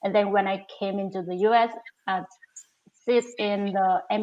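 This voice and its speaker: A woman talks with a non-native accent at a medium pitch. Her intonation is monotone and flat. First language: not English. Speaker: MBA student intern. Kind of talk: live interview.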